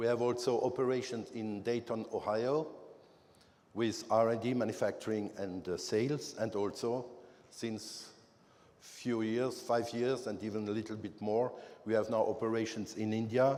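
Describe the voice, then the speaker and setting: Audible room echo surrounds a man with a French accent speaking at a moderate pace in a dark, mellow, medium-pitched voice with flat, monotone intonation. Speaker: company manager presenting. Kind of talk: conference presentation. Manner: halting, many fillers.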